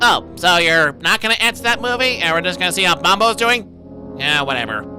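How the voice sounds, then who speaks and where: In a cartoonish character voice of middle pitch, the speaker moves at a fairly quick pace while clear music plays in the background. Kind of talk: movie review commentary. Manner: sarcastic, snarky.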